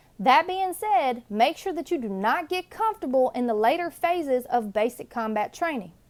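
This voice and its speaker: Through noticeable background noise, a woman talks at a moderate pace in a high voice with very wide pitch swings and hardly any pauses. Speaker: National Guard recruiter and drill sergeant. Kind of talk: casual talk to camera, advice video. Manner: energetic, friendly.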